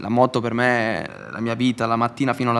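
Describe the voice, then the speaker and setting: A man speaks in a monotone with flat intonation. His pitch is medium and his pace fairly quick. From Italy. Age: young. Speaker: motorcycle racer. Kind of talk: casual interview.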